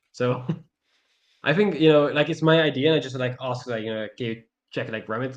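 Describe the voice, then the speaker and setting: This man talks at a fairly quick pace with a non-native accent and a medium pitch. His speech has long, frequent pauses. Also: ordinary pitch variation. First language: not English. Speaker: mentee. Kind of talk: mentoring session chat. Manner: halting, many fillers.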